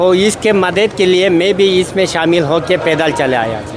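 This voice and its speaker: A high-pitched man with ordinary pitch variation, amid audible room echo and noticeable background noise. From Ladakh. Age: 60s. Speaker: Buddhist monk. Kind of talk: interview. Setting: gurdwara basement. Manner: halting Hindi.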